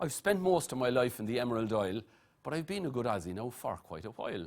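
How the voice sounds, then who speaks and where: A man with an Irish accent speaks at a fairly quick pace and a medium pitch. His pitch swings very widely. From Ireland, Blarney (County Cork). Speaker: master of ceremonies. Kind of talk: rhyming verse MC address. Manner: rhythmic, rhyming delivery.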